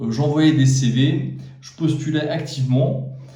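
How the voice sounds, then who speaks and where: The speech moves at a fairly slow pace. Noticeable background noise and audible room echo surround it. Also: man. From France. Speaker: YouTuber giving job advice. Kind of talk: casual talk to camera. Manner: hesitant, many fillers.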